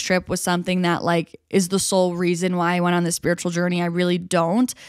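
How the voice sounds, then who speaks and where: In an ordinary speaking voice, a woman with an American accent speaks at a medium pitch and a fairly quick pace. The recording is very clean with a silent background. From New York State, small town. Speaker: podcast host. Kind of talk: solo podcast monologue. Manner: casual, filler-heavy.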